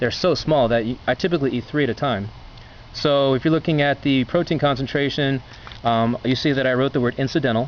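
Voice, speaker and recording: A man at a very fast pace, with ordinary pitch variation and noticeable background noise. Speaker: video blogger reviewing food. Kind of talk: casual talk-to-camera review. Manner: halting, many fillers and restarts.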